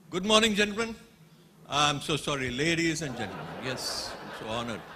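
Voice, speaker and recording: Speaking at a fairly quick pace in a fairly high pitch, a man makes very wide pitch swings and big shifts in loudness, with noticeable background noise and audible room echo. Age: 60s. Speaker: engineering company executive. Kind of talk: conference talk.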